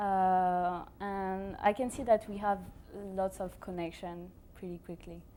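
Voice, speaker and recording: In a strong French accent, a woman speaks at a fairly slow pace with a medium pitch, a dark, mellow tone, monotone, flat intonation and big swings in loudness. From France. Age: 20s. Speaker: exchange student. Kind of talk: interview. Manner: hesitant, many fillers.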